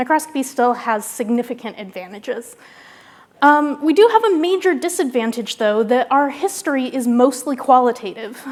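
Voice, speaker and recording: A high female voice, its pitch varying in an ordinary way. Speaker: scientist giving keynote. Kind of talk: lecture. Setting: stage with audience. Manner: fast.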